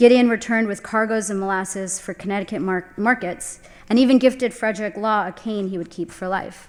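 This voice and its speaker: A woman with an American accent talks at a fairly quick pace with hardly any pauses, in an unremarkable speaking voice. Her medium pitch keeps a fairly even intonation while her loudness swings widely. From US South. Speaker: landscape architect. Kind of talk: lecture.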